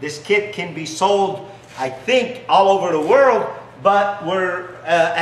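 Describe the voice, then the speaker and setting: Heard with light background noise and audible room echo, a man with a non-native accent speaks in a high pitch. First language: not English. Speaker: business founder; business owner demonstrating product. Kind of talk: sales pitch with demonstration. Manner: halting, many fillers. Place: garage.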